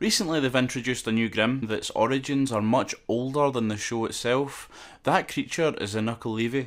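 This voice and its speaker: Fairly quick speech in a Scottish accent with ordinary pitch variation, on a very clean recording with a silent background. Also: man, medium pitch for a man. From Scotland. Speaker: YouTube lore commentator. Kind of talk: casual lore commentary to camera.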